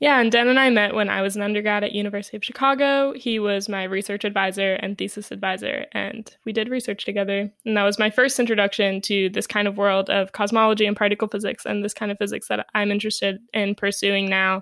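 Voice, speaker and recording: A woman at a medium pitch, very fast and with hardly any pauses, in monotone, flat intonation, on a very clean recording with a silent background. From New York City. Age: 20s. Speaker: physics graduate student and podcast co-host. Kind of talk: casual chat.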